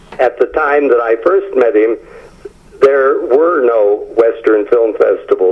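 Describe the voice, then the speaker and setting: A man speaks against noticeable background noise. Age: 70s. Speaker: author, film historian. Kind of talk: interview. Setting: phone call. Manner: hesitant with frequent fillers.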